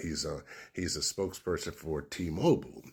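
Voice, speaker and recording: A man talks at a moderate pace with a very deep, low pitch. Vocal fry runs through his voice. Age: 60s. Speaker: radio DJ and commentator. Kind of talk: casual opinion monologue. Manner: animated.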